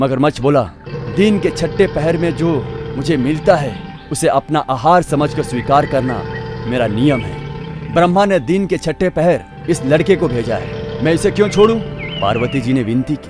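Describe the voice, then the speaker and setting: Lively intonation from a man with a fairly high pitch, over background music. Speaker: voice-over artist. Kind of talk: devotional mythology story narration.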